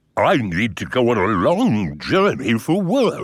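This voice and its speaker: A man's cartoonish character voice at medium pitch with very wide pitch swings, fairly slow, on a very clean recording with a silent background. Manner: mild, hesitant.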